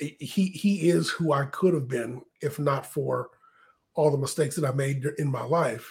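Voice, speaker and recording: This man's voice sits fairly high and sounds somewhat breathy, with ordinary pitch variation. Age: 50s. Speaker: wrestling podcast co-host. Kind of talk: casual chat.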